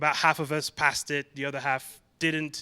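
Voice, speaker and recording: On a very clean recording with a silent background, a man's bright, sharp tone and fairly high pitch come through with a dry, close sound and no echo. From Gabon. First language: French. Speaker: tech company CEO. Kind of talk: interview.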